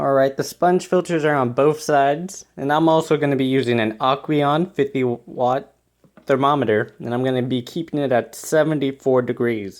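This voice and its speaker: At a moderate pace, the speaker has a plain, everyday voice with ordinary pitch variation. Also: man, fairly high pitch for a man. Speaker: aquarium hobbyist YouTuber. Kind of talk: tutorial. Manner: casual, filler-heavy.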